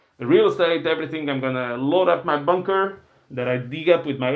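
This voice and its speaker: A man with a non-native accent speaks at a moderate pace. His pitch varies in an ordinary way. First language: not English. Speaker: finance YouTuber. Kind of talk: casual commentary. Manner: casual, hesitant with fillers.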